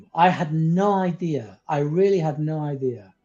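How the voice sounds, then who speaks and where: A man talks in a dark, mellow tone. His pitch variation is ordinary. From came to the UK at eleven from abroad. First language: not English. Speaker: spiritual teacher, former psychotherapist. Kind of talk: interview conversation. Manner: halting, with fillers.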